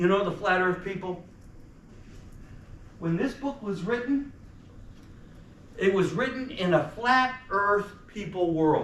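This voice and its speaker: Over noticeable background noise and audible room echo, a man with an American accent talks at a very slow pace with long, frequent pauses, a high pitch and ordinary pitch variation. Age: 70s. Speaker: activist speaker, former priest. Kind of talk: talk to students. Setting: college lecture audience. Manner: animated.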